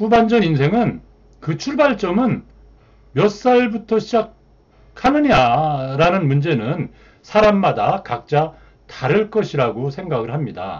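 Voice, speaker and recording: A high-pitched man speaking very slowly, with very wide pitch swings and long, frequent pauses. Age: 60s. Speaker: retiree channel host, freelancer. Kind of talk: monologue talk to viewers.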